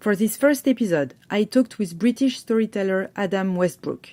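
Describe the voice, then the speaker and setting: A woman with a French accent, a dark, mellow tone, a fairly high pitch and lively intonation. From France. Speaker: podcast host. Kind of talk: scripted podcast intro.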